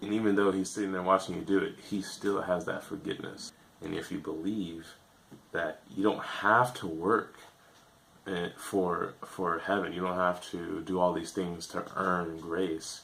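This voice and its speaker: A man's very deep, low voice at a fairly slow pace, with fairly even intonation and noticeable background noise. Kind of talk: casual talk to camera.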